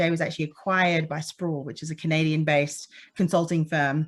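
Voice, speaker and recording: At a fairly quick pace, a woman with a slight Australian accent speaks in a fairly low voice. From Australia, Perth, Western Australia. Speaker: petroleum engineer and conference speaker. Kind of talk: conference talk. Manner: many fillers (um).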